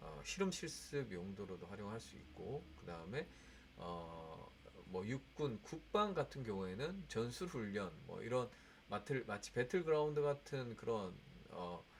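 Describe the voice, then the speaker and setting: With big swings in loudness and very wide pitch swings, a man speaks at a very slow pace around a medium pitch. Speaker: edtech researcher presenting. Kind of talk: lecture. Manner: halting with fillers.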